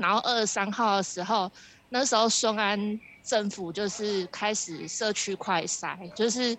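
With a Taiwanese accent, a woman talks at a fairly slow pace in a medium pitch, her intonation fairly even. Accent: Taiwanese Mandarin. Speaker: Taiwanese expat worker in COVID quarantine. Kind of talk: interview. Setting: phone call from quarantine center.

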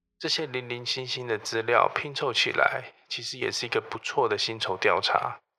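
A man talks at a moderate pace. He leaves hardly any pauses. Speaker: HR professional and podcast host. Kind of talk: solo storytelling podcast monologue. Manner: listless, flat tone.

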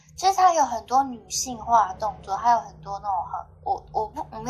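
The speaker has an ordinary speaking voice, moving at a moderate pace with lively intonation, big swings in loudness and hardly any pauses. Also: woman. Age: 30s. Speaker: podcast guest sharing dating stories. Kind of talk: casual chat.

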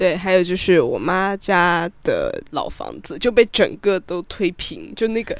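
The delivery has hardly any pauses despite a fairly slow pace. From Sichuan, China. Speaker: podcast guest. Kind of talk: casual chat.

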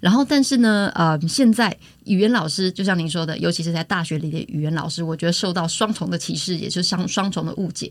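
The voice is somewhat breathy, moving at a very fast pace with ordinary pitch variation. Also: woman. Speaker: university English lecturer. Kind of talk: interview.

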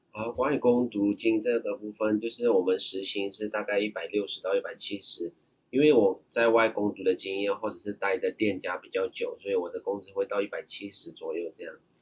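At a fairly quick pace, a man talks with hardly any pauses and big swings in loudness. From Myanmar. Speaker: overseas Chinese university student. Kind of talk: casual interview chat.

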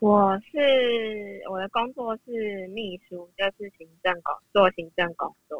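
In a Taiwanese accent, a woman speaks at a very slow pace with hardly any pauses and a medium pitch. Her loudness swings widely while her pitch varies in an ordinary way. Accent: Taiwanese Mandarin. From Taiwan, Yunlin County. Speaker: listener, administrative secretary. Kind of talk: casual chat.

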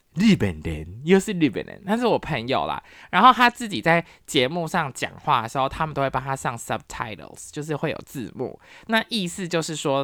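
A woman with a Taiwanese accent talks at a fairly quick pace in a very deep, low voice with vocal fry. Her tone is animated, her pitch swings very widely, and the recording is very clean with a silent background. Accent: Taiwanese Mandarin. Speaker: podcast host, university professor. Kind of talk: casual solo talk.

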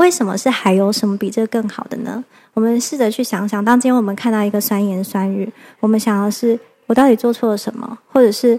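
Talking at a fairly quick pace with fairly even intonation, a woman has a fairly high pitch and an unremarkable speaking voice. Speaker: mother and mind-body-spirit practitioner. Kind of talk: casual interview chat.

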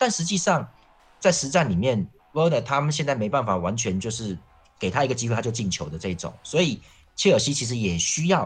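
Medium pitch from a man, very wide pitch swings, a fairly quick pace and music in the background. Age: 40s. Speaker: football columnist. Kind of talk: casual chat.

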